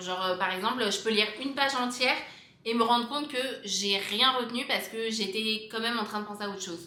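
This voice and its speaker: A woman with a fairly high voice talks at a fairly quick pace in an animated tone, her pitch moving in an ordinary way, with noticeable background noise and audible room echo. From France. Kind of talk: casual vlog.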